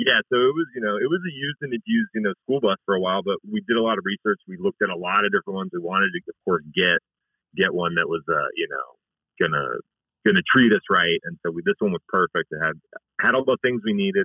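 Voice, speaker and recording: Very wide pitch swings mark this man's medium-pitched voice, delivered at a very fast pace. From Pittsburgh. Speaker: comedy bus tour owner. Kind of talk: interview.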